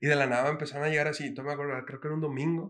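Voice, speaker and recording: Amid audible room echo, a man rattles along at a very fast pace in a fairly high, monotone voice with flat intonation. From Mexico City. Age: 20s. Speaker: reggaeton singer. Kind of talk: casual chat.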